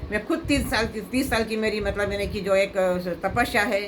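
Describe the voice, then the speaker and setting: A woman speaks at a moderate pace with ordinary pitch variation. The room echo is audible, and there is noticeable background noise. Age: 70s. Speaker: devotee. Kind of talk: emotional appeal. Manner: halting.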